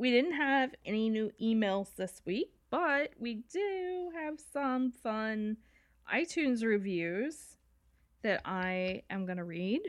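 At a very slow pace, a woman with a fairly high pitch swings very widely in pitch against a quiet background. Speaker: podcast co-host. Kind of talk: casual chat. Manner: casual, chatty.

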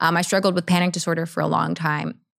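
In a General American accent, a woman with a fairly low pitch speaks with vocal fry, in a very clean recording with a silent background. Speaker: actress and producer. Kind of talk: casual interview chat. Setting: in person studio.

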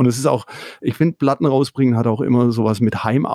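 With a slight Swabian accent, a man speaks at a medium pitch in a dark, mellow tone, with ordinary pitch variation. The sound is dry and close with no echo, and the recording is very clean against a silent background. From Swabia, Swabian Jura. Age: 50s. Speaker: record label owner and musician. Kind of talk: casual interview. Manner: hesitant.

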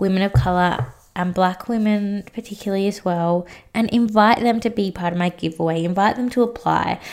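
A woman at medium pitch speaks with an Australian accent. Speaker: life coach and podcast host. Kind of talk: solo podcast monologue. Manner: halting.

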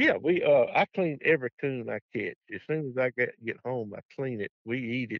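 With a Southern US accent, a man talks at a moderate pace. He leaves hardly any pauses. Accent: Southern US (Georgia). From US South, Georgia. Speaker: retired state trooper and coon hunter. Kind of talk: casual interview chat.

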